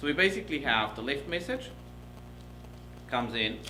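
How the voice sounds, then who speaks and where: A man with a German accent talks in a room with audible echo. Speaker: professor. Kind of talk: lecture. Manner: fast.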